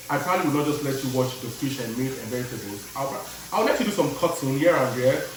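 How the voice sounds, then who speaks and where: A man with a fairly high voice speaks with ordinary pitch variation over noticeable background noise and audible room echo. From Nigeria and Chicago. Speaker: cooking vlogger. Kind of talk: casual chat while cooking. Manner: animated.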